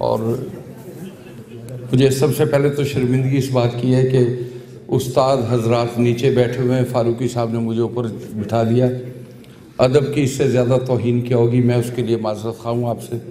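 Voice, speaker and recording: Noticeable background noise and audible room echo surround a man with a medium pitch. He speaks in a monotone, flat way with long, frequent pauses. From Pakistan, Jhang (Punjab). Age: 60s. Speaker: speaker at book launch. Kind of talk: ceremonial speech.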